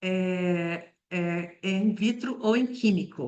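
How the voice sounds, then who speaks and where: Medium pitch and fairly even intonation from a woman. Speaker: toxicology professor. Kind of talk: lecture. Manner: hesitant with fillers.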